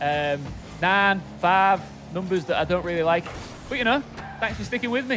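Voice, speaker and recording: With music playing behind him, a man with a Hull accent speaks in a high pitch with lively intonation and long, frequent pauses. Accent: northern English (Hull). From northern England, Hull. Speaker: esports caster. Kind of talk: live commentary. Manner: animated.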